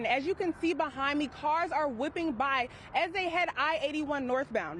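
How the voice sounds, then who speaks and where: Noticeable background noise surrounds a woman's voice. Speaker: broadcast news reporter. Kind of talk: live shot stand-up from the field.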